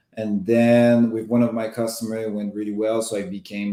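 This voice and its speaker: In a strong Quebec accent, a man with a dark, mellow tone and fairly low pitch speaks at a moderate pace with monotone, flat intonation. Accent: thick Quebec French. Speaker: marketing executive. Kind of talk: interview.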